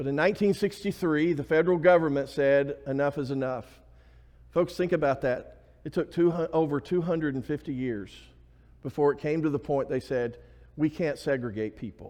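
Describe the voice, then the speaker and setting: With an Alabama accent, a man talks at a fairly quick pace. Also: fairly high pitch for a man, ordinary pitch variation. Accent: US Southern (Alabama). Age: 50s. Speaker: pastor. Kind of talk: sermon. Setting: church.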